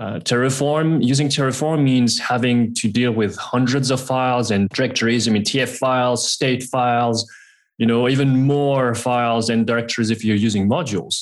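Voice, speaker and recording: A man's medium-pitched, normal speaking voice at a moderate pace, with fairly even intonation, very even loudness and a quiet background. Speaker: technical guest for sponsor. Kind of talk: sales pitch.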